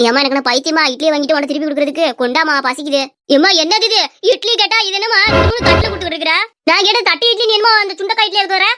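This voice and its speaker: A cartoonish character voice at a very fast pace over background music. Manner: blunt, mocking.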